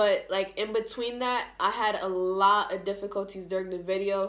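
At a fairly quick pace, a woman is speaking. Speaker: vlogger. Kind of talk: casual vlog chat. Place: home room. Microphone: phone near.

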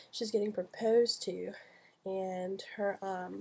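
A woman's dark, mellow voice stays monotone and flat throughout. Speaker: student vlogger; scholarship student vlogger. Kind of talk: casual video blog. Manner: hesitant, many fillers. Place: home room. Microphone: webcam.

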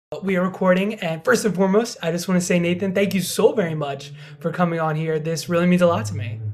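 A man talks at a very fast pace with a high pitch and ordinary pitch variation. Noticeable background noise can be heard. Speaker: podcast host. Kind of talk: casual interview.

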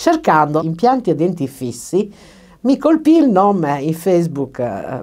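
A woman's dark, mellow tone with very wide pitch swings at a fairly slow pace. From Sardinia, Cagliari. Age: 60s. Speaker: dental patient. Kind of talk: testimony. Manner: hesitant, many fillers. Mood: grateful, warm. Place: studio.

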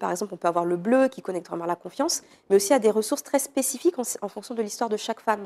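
Here is a woman with a dark, mellow tone. Her pitch varies in an ordinary way. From Paris region, France (Villeneuve-le-Roi), of French Guianese parents; Paris region, France. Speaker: art therapist and personal development coach; personal development coach. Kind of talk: interview. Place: studio. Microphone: lapel.

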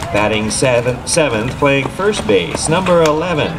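A man speaks with noticeable noise behind him. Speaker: stadium announcer. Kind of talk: lineup announcement. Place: stadium. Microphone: pa.

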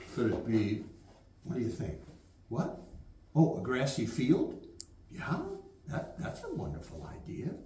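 There is audible room echo as a man talks at a fairly slow pace. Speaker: storyteller. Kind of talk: children's storytelling. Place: classroom. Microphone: camera far.

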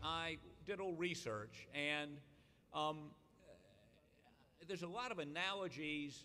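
Music plays behind a man whose loudness swings widely and who leaves long, frequent pauses. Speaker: speaker. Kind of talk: political speech. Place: hall. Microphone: podium.

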